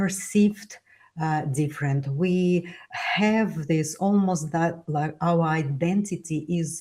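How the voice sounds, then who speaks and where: A woman with a Russian accent speaks at a very slow pace in a somewhat breathy voice. Her pitch is fairly low and its variation ordinary. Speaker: author and immigrant speaker. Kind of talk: interview conversation. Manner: halting, many fillers.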